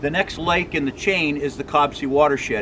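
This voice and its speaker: A man keeps to a moderate pace and fairly even intonation while noticeable background noise is heard. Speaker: presenter. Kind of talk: promotional vlog talk. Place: street. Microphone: camera far.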